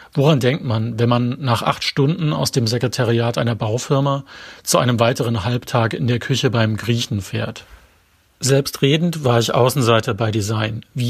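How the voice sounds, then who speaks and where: Somewhat breathy and with fairly even intonation, a man speaks at a medium pitch. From eastern Germany, later northern Bavaria. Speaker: author. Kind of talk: reading aloud.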